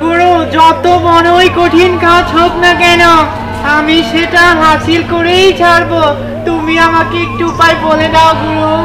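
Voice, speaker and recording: A cartoonish character voice moves at a fairly slow pace. Loud background noise sits behind it. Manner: eager, deferential.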